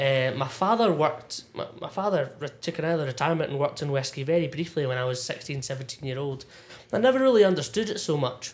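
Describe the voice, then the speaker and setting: A man speaks very fast with a Scottish accent. His voice is fairly high and somewhat breathy. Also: lively intonation. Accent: Scottish (Ayrshire). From Scotland, Irvine, North Ayrshire. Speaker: whisky enthusiast and former bartender. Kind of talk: casual chat. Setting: pub back room.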